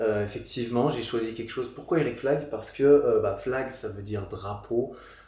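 A man speaks at a medium pitch and a moderate pace with a dark, mellow, somewhat breathy tone and fairly even intonation. There is audible room echo. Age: 30s. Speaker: fitness YouTuber and podcaster. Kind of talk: casual chat. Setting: studio, sitting on a couch in Paris.

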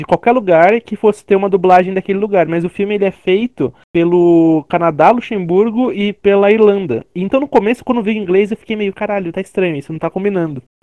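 A man's high-pitched voice with ordinary pitch variation, at a fairly quick pace. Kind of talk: casual chat.

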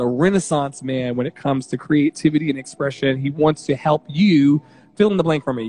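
Heard in a dry, close sound with no echo, a man speaks at a fairly high pitch with ordinary pitch variation. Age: 30s. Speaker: livestream community show host. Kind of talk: casual chat. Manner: animated.

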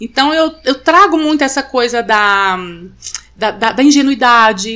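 A bright, sharp tone at a moderate pace, with very wide swings in pitch. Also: woman. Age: 40s. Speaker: author. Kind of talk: casual chat.

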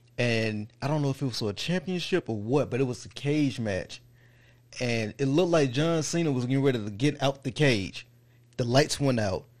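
Against a quiet background, a man in a normal speaking voice uses a medium pitch with ordinary variation at a moderate pace. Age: 30s. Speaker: wrestling podcast host. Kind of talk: casual chat.

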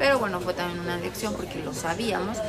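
A woman's pitch moves in an ordinary way as she talks in a room with audible echo and noticeable background noise. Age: 30s. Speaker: podcast co-host, vlogger. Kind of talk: casual chat.

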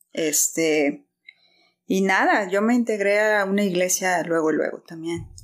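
This woman has an unremarkable speaking voice at a medium pitch, talking at a fairly slow pace with ordinary pitch variation. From Guadalajara, Mexico. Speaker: church member. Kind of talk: testimony.

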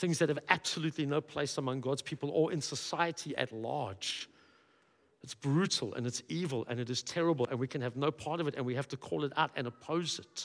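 This man talks at a fairly quick pace, his voice pitched fairly high. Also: ordinary pitch variation. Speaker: pastor. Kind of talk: sermon. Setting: church.

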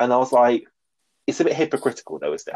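The speaker is a man with a British accent. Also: dry, close sound with no echo. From Britain. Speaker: podcast host discussing reality TV. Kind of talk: casual chat.

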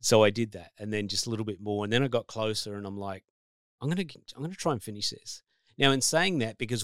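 With an Australian accent, a man speaks at a very fast pace and medium pitch with ordinary pitch variation, on a very clean recording with a silent background. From New South Wales, Australia. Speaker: life coach and author. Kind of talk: casual chat.

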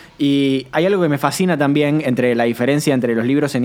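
This is a man speaking. His voice sits at a fairly high pitch. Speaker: podcast host. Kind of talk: casual chat.

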